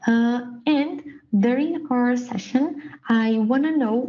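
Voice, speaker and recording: Delivered at a very slow pace with ordinary pitch variation, the speech comes in a Brazilian Portuguese accent. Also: woman. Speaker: production engineer, dashboard trainer. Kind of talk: presentation / tutorial. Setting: prerecorded online session. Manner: hesitant, many fillers.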